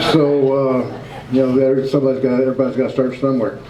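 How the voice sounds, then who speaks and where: Speaking at a medium pitch, a man is heard with noticeable background noise and audible room echo. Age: 50s. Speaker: independent journalist and show host. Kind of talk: talk to a club audience.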